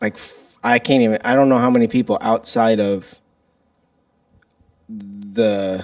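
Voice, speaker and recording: Speaking fairly slowly with an American accent, a man keeps a fairly low pitch and fairly even intonation. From Illinois, St. Louis area. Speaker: podcast host. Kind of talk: casual chat.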